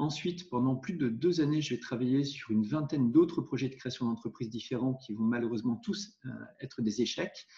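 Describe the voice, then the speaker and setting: At a fairly quick pace, a man speaks in a medium pitch with a dark, mellow, somewhat breathy tone and ordinary pitch variation. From Normandy, France. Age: 40s. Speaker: entrepreneur and investor. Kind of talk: interview. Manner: hesitant with fillers.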